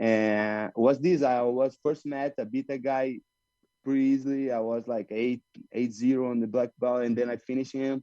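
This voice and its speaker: A man with a Brazilian Portuguese accent speaks in a dark, mellow, medium-pitched voice at a moderate pace. His intonation is fairly even, and the sound is dry and close with no echo. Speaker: jiu-jitsu fighter. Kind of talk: interview. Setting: video call. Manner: halting non-native English.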